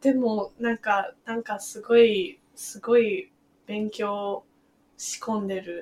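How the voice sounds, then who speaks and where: Speaking with an English accent at a very slow pace, a woman has a fairly high, somewhat breathy voice. Her pitch varies in an ordinary way while her loudness swings widely. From Beijing, China. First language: English (speaking Japanese). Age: 20s. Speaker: translator and illustrator. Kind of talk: casual chat.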